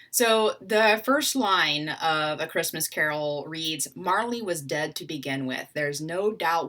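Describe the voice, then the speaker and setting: Speaking in a Southern US accent, a woman with a very deep, low pitch and a bright, sharp tone talks at a fairly slow pace with lively intonation and hardly any pauses, in a very clean recording with a silent background. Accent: Southern US (Georgia). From US South, Atlanta, Georgia. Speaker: literature scholar. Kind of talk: educational talk. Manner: casual, with fillers.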